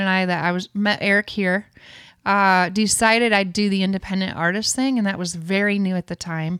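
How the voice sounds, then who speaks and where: A woman with a Midwestern accent and monotone, flat intonation, on a very clean recording over a silent background. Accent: Northern US, Midwestern. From Michigan. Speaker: songwriter and worship leader. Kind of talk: casual interview chat.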